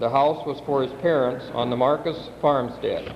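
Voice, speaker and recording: Over noticeable background noise and audible room echo, a man speaks. He keeps a moderate pace with ordinary pitch variation. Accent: American. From US Midwest (South Dakota). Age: 50s. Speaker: family member giving family history. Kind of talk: reading aloud.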